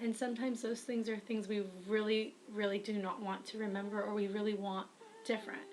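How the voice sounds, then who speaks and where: Noticeable background noise behind a woman's fairly high, monotone, flat voice at a fairly quick pace. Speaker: writer and vlogger. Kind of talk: advice vlog. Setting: webcam recording.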